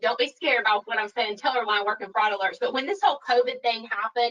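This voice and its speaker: A woman with a bright, sharp tone speaks at a fairly high pitch with ordinary pitch variation. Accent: Southern US. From US South, Alabama. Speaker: financial crime compliance expert. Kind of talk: webinar Q&A. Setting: online webinar.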